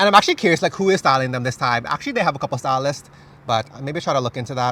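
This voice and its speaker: At a very fast pace, a man talks with lively intonation, an animated tone and a fairly high pitch. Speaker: K-pop fashion content creator. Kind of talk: casual chat.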